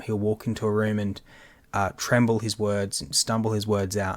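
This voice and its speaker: On a very clean recording with a silent background, a man with a fairly low pitch speaks at a fairly quick pace in a monotone, flat intonation. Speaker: podcast co-host. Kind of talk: casual chat. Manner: halting.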